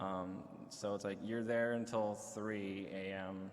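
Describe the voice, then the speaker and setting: Audible room echo surrounds a man with an American accent who speaks at a fairly low pitch in a monotone, flat intonation. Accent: American-sounding English. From Sweden. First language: Swedish. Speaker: streaming network host. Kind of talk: convention panel talk.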